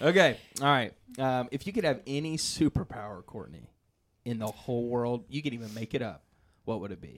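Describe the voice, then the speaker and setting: A man speaks in a normal speaking voice at medium pitch and a fairly quick pace. His intonation is lively, and his loudness swings widely. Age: 20s. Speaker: church podcast host. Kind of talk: casual interview.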